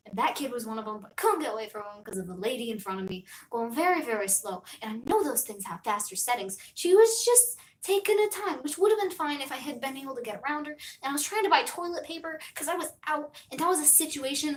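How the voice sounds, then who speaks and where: Speaking very fast in an animated tone, a high-pitched woman swings widely in pitch and greatly in loudness. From US. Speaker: streamer. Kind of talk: casual chat. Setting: live stream. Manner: rambling, animated.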